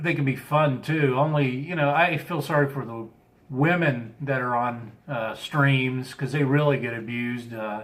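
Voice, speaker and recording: Amid audible room echo, a man with a slight Southern US accent speaks fairly slowly at a fairly high pitch. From US Midwest, Chicago area. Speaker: live streamer. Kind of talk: casual live-stream chat. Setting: live stream.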